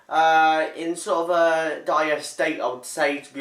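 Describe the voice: A man's fairly bright voice at a fairly slow pace, with audible room echo.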